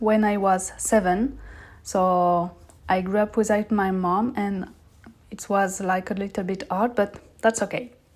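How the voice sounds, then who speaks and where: In a very clean recording against a silent background, the words come at a moderate pace. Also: woman. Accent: French. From southern France. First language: French. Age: 30s. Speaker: podcast host. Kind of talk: personal storytelling monologue.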